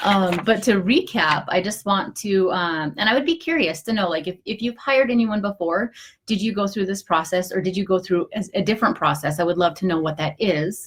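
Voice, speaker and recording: A woman at a medium pitch talks at a fairly quick pace with hardly any pauses and ordinary pitch variation. Noticeable background noise can be heard. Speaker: online business advisor (CPA). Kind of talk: live video tutorial. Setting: home office, live stream. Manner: fast; casual, many filler words.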